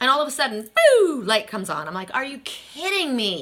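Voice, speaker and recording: Noticeable background noise sits behind a woman's high-pitched voice. Her tone is animated, with very wide pitch swings. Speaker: tarot card reader. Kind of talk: casual storytelling. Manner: fast.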